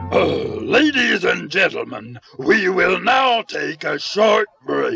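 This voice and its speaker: Faint music plays behind a man doing a put-on character voice at a fairly slow pace. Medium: read story. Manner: announcer-like, reassuring.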